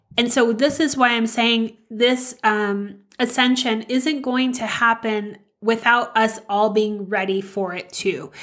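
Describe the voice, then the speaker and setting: A woman with a fairly high pitch speaks at a very slow pace with fairly even intonation and hardly any pauses. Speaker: podcast host, spiritual healing. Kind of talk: spiritual talk, solo monologue. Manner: nervous, earnest, hesitant.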